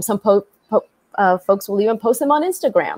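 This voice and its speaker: Against a quiet background, a woman speaks with ordinary pitch variation in a dry sound with no echo. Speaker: tech company co-founder; panelist. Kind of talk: panel discussion. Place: home room.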